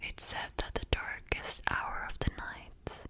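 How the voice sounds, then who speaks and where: The voice whispers at a very slow pace. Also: woman. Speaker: ASMR artist. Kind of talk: book reading for sleep. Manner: soft-spoken, slow.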